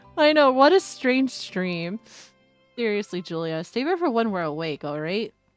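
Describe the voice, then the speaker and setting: In a put-on character voice, a woman mumbles at a moderate pace and medium pitch with very wide pitch swings as music plays in the background. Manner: mumbling, slurred.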